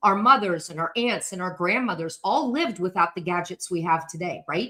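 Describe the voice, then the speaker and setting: A woman talks loudly at a medium pitch with lively intonation. Her tone is bright and sharp. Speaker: decluttering coach. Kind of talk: live stream talk. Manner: fast.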